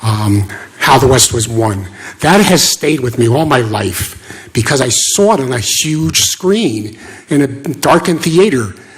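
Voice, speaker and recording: Over noticeable background noise, a man speaks at medium pitch and a fairly slow pace, with lively intonation. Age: 60s. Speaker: local resident giving public comment. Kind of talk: public comment at town meeting.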